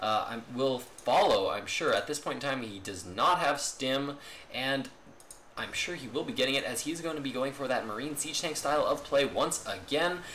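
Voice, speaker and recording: With an excited, energetic tone and ordinary pitch movement, a man talks over noticeable background noise. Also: moderate pace. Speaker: esports caster. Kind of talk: live-style game commentary.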